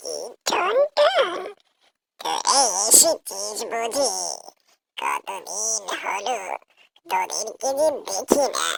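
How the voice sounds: A high-pitched cartoonish character voice at a very slow pace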